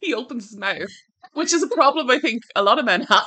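A woman with an Irish accent, a bright, sharp tone and very wide pitch swings. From Ireland. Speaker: book podcast co-host. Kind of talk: casual chat.

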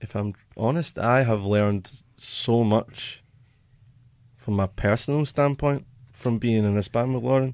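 A man with a Glaswegian accent speaks at a fairly slow pace and a medium pitch, using ordinary pitch variation and long, frequent pauses, on a very clean recording with a silent background. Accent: Glaswegian Scottish. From Scotland, Glasgow. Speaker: musician in a band. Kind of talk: casual interview chat.

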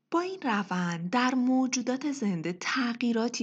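Pitch swings very widely as a woman speaks at a moderate pace. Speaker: podcast host. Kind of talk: scripted narration. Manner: formal.

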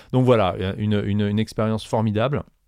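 A very clean recording of a man's voice over a silent background. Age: 40s. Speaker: music company general manager. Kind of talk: interview. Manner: halting.

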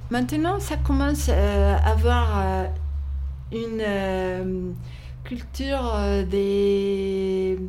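Speech comes at a very slow pace with long, frequent pauses, amid noticeable background noise and audible room echo. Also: woman. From Mexico. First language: not French (speaking French). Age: 60s. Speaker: bookshop owner. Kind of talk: casual interview. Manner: halting.

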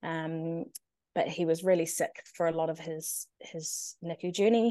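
A woman speaks at a very slow pace. Her voice is fairly low in pitch, with a dark, mellow tone. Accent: New Zealand. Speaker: NICU parent. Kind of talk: personal story interview. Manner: eloquent.

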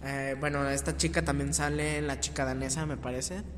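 The speaker is a man talking at a moderate pace. Audible room echo is present. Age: young. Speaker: podcast co-host. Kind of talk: casual chat. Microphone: poor audio quality.

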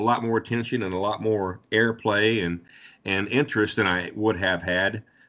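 Against a quiet background, a man with an American accent speaks in an ordinary speaking voice, fairly low in pitch, at a moderate pace. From southwestern Ohio. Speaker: country singer-songwriter. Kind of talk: interview.

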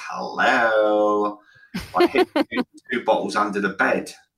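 Speaking in a put-on character voice, a man sounds raspy and fairly low-pitched as he talks at a fairly slow pace.

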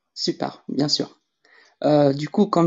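At a very slow pace, a woman with a very deep, low pitch talks with ordinary pitch variation. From Lebanon. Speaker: AI artist and scientist. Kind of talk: interview on live audio room. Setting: online audio room.

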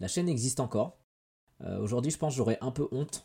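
A man's somewhat breathy voice, dark and mellow in tone, at a fairly quick pace. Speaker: YouTuber. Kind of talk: casual chat. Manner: hesitant, many fillers.

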